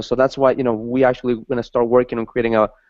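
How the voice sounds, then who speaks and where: Speaking at a very fast pace, a man with a Spanish accent has a medium pitch. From Ecuador. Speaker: talk show host. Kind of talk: interview. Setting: video call.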